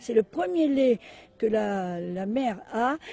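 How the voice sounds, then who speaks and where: A woman speaks with a fairly high pitch, a dark, mellow tone, and ordinary pitch variation. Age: 70s. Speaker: animal sanctuary founder, magnetic healer. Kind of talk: interview.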